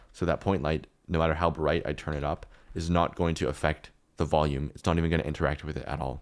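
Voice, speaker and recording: A man rattles along at a very fast pace with a very deep, low pitch, vocal fry, and monotone, flat intonation. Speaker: 3D artist. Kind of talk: tutorial. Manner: casual with fillers and restarts.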